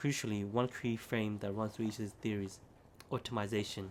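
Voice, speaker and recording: With an unremarkable speaking voice, a man talks at a fairly quick pace in a fairly low pitch. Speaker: ASMR creator reading aloud in a library. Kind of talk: ASMR reading of an academic paper to help sleep.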